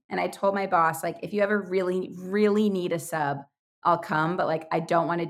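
A plain, everyday voice speaks at a moderate pace. The intonation stays fairly even. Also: woman. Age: 20s. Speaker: youtuber and podcaster, former preschool teacher. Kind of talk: casual chat.

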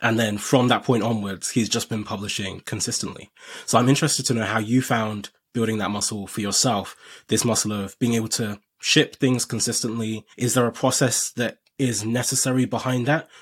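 On a very clean recording with a silent background, a man with a plain, everyday voice and a medium pitch talks at a fairly quick pace. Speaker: podcast host. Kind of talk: interview.

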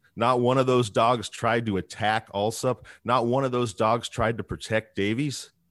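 A man in an American accent, medium in pitch, at a fairly slow pace with fairly even intonation, on a very clean recording with a silent background and a dry, close sound with no echo. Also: hardly any pauses. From rural Northern California. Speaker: podcast host. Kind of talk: casual interview with storytelling. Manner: halting.

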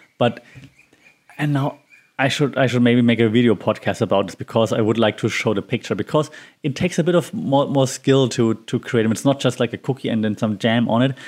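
A man with a Bavarian accent speaks at a fairly quick pace in a medium pitch. His pitch varies in an ordinary way, and the recording is very clean with a silent background. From Bavaria, Germany. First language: German. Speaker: podcast host. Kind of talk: casual solo podcast monologue.

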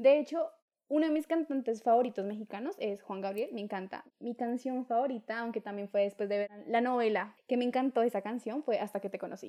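A woman's fairly high voice with a dark, mellow tone. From Colombia, Duitama, Boyacá. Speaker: podcast co-host. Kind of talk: casual chat.

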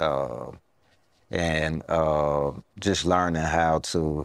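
In a very deep, low voice, a man speaks very slowly with fairly even intonation. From US South, Southwest Atlanta. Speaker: entrepreneur. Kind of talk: interview podcast. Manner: halting.

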